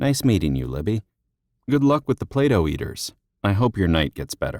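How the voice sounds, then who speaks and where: Putting on a character voice, a man talks at a fairly quick pace in a fairly low pitch. His pitch swings very widely. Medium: read story.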